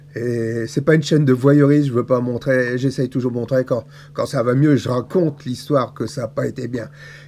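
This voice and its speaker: A man's medium-pitched voice with fairly even intonation, against noticeable background noise. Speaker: vlogger with cancer. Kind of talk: personal video diary. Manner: halting.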